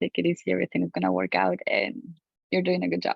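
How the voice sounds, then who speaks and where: Speaking at a fairly quick pace, a woman talks with a Colombian accent. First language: Spanish. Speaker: physician-scientist. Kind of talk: panel discussion.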